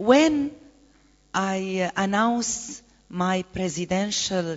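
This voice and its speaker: A woman with a medium-pitched voice speaks with lively intonation. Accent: Arabic. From Egypt. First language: Arabic. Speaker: activist and presidential candidate. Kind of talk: conference panel talk. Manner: halting, many hesitations.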